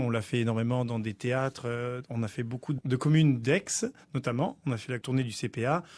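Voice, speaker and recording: An ordinary speaking voice moves at a fairly quick pace with ordinary pitch variation against a quiet background. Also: man. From Africa. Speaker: opera tenor. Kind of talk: radio interview.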